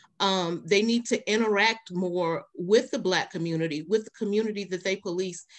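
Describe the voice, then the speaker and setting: Against a quiet background, a woman speaks at a moderate pace and medium pitch with ordinary pitch variation. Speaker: domestic violence agency advocate. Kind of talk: panel discussion. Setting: online webinar, video call. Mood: earnest, thoughtful. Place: home room.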